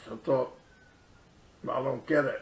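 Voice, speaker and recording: A man keeps a moderate pace while noticeable background noise sounds behind him. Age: 60s. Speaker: online business promoter. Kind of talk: personal testimony. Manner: halting, many fillers.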